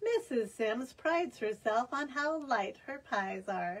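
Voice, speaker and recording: Putting on a character voice, a woman speaks high and fairly slowly with lively intonation. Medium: read story.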